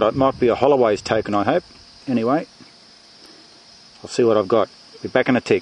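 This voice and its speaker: Speaking at a fairly quick pace, a man with an Australian accent has a medium pitch and ordinary pitch variation. Noticeable background noise sits behind him. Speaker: metal detecting hobbyist. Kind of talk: casual talk to camera. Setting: outdoors.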